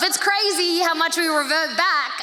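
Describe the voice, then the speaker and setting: A woman with an Australian accent uses a raised, projected voice at an extremely high pitch. Audible room echo and noticeable background noise surround her. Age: 30s. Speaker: pastor. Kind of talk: sermon. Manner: fast; animated.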